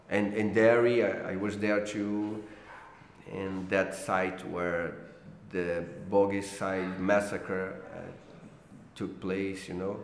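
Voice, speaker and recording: In a Brazilian accent, the speaker goes at a very slow pace with long, frequent pauses and monotone, flat intonation. There is audible room echo. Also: man, fairly low pitch for a man. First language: Portuguese. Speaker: political cartoonist. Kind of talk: interview. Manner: halting, many fillers and repeats.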